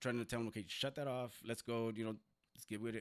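The speaker is a man. He has an American accent. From southern California (Compton and San Diego). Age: 40s. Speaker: formerly incarcerated community activist. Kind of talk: interview.

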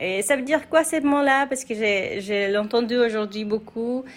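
With a Spanish accent, a woman speaks at a very slow pace with lively intonation. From Mexico. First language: Spanish (speaking French). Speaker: immigrant sharing her experience. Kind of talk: personal testimony. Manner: hesitant, many fillers; casual, relaxed.

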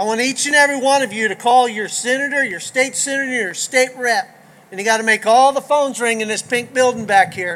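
With a Texan accent, this man talks at a fairly quick pace in an extremely high pitch, with ordinary pitch variation and noticeable background noise. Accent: Southern US (Texan). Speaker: county sheriff. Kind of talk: rally speech. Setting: outdoor rally stage with crowd.

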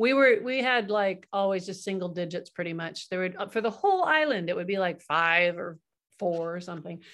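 In an American accent, a woman with an unremarkable speaking voice talks at a fairly quick pace, at medium pitch with ordinary pitch variation, against a quiet background. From California. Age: 60s. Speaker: hypnotherapist. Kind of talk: casual chat.

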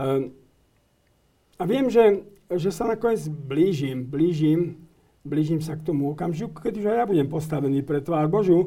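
A man with a dark, mellow tone, fairly high pitch, lively intonation and a fairly slow pace. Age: 70s. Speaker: guest commentator on church affairs. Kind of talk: interview. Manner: halting.

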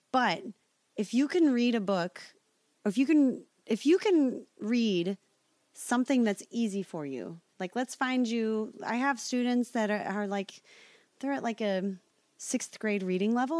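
On a very clean recording with a silent background, a woman with an American accent and an unremarkable speaking voice talks at a fairly slow pace, with fairly high pitch and lively intonation. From Nebraska, US Midwest. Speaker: singer. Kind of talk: casual chat.

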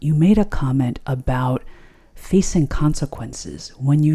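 A woman's dark, mellow voice at a fairly slow pace. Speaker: podcast host. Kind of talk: interview conversation. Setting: recorded at kitchen table at home.

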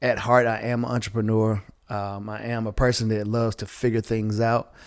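The recording is very clean, with a silent background. A man at a medium pitch speaks at a moderate pace in a monotone, flat intonation. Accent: Southern US. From Southwest Georgia, US South. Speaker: entrepreneur and bodybuilder. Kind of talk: casual chat.

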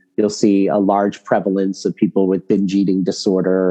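In an American accent, the speaker talks at a moderate pace with monotone, flat intonation. The tone is dark and mellow, the sound dry and close with no echo. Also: man. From Boston, Massachusetts. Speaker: psychologist and medical school lecturer. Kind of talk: interview.

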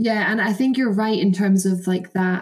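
Somewhat breathy and at a medium pitch, a woman talks in a Scottish accent with ordinary pitch variation. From Scotland, between Perth and Edinburgh. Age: 20s. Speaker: canoe slalom athlete. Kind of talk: casual chat.

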